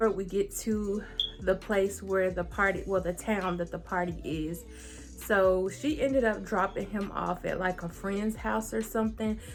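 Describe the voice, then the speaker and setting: With music in the background, a woman talks fairly slowly. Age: 20s. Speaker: YouTuber. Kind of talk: storytelling. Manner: casual.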